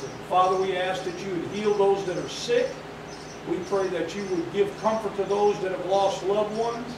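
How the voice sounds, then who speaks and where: Against noticeable background noise and audible room echo, a man with a high pitch speaks with fairly even intonation. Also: moderate pace. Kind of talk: sermon. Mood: reverent, earnest. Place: hall. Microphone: camera far.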